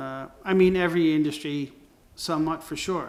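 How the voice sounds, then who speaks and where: With fairly even intonation, a man speaks at a moderate pace amid audible room echo. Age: 60s. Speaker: creative agency owner and designer. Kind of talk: casual monologue. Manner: halting, many fillers and restarts.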